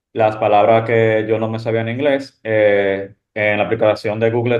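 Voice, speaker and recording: This man speaks with a Dominican accent. His pitch is medium and his pace moderate. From Dominican Republic. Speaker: medical resident. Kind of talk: panel discussion.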